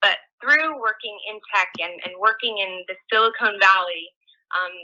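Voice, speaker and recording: A woman with an American accent, medium pitch, moderate pace and a plain, everyday voice. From US, San Francisco, California. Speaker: tech company engineer, guest speaker. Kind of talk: online presentation. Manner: casual, filler-heavy.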